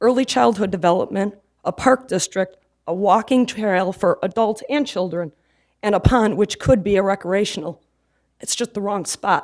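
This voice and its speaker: A woman with a medium pitch and ordinary pitch variation talks at a moderate pace in a shaky voice, the sound dry and close with no echo. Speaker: resident speaking at public comment. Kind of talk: public comment at city council meeting.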